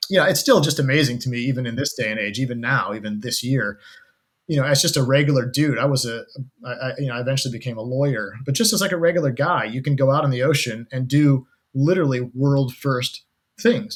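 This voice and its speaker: Very fast, somewhat breathy speech from a man. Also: medium pitch for a man, ordinary pitch variation. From US Midwest (Kansas and Colorado). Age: 40s. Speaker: ocean adventurer and wildlife cameraman. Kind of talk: interview conversation.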